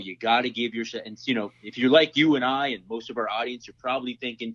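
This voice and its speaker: A man with a plain, everyday voice talks at a fairly quick pace and medium pitch, with fairly even intonation, big swings in loudness and hardly any pauses. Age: 30s. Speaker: self-defense instructor. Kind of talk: casual interview chat.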